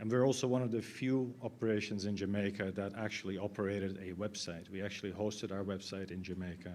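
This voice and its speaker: A man talks at a fairly quick pace with a fairly low pitch. Audible room echo surrounds his voice. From Netherlands. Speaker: IT consultant. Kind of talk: conference talk. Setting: stage with audience. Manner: halting.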